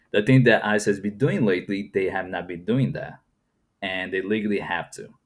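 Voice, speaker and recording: A man with a fairly low pitch talks at a fairly quick pace with ordinary pitch variation. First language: Portuguese. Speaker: YouTube reaction commentator. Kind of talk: reaction commentary. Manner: casual, conversational with fillers.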